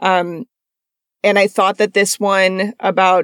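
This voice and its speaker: This is an unremarkable speaking voice, a woman's at medium pitch. She talks at a moderate pace in a dry, close sound with no echo. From moved around US, mostly Iowa and Georgia. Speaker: journalist and podcast host. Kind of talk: casual interview chat. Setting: video call.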